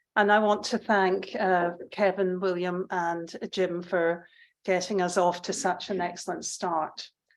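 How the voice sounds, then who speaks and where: A woman's medium-pitched voice with a Scottish accent, fairly slow and monotone, flat, on a very clean recording with a silent background. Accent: Scottish, still noticeable. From Scotland. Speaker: public health professor. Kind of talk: conference speech. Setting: conference hall with audience.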